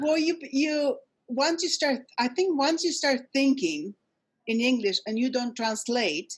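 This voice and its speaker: At a fairly slow pace, a woman speaks in a high pitch with lively intonation and very even loudness. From Poland. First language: Polish. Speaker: immigrant sharing life story. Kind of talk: interview. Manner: halting, many fillers and repeats.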